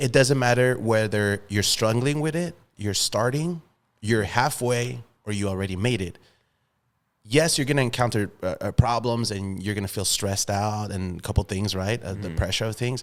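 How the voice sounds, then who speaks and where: On a very clean recording with a silent background, a man with an ordinary speaking voice talks at a moderate pace, fairly low in pitch, with ordinary pitch variation. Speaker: podcast host. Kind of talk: casual podcast conversation.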